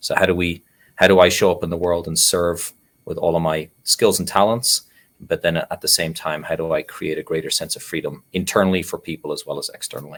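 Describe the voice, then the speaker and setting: A man talks at a fairly quick pace with an Irish accent. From Ireland. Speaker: nonprofit CEO and meditation teacher. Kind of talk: interview. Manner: reflective, with frequent fillers.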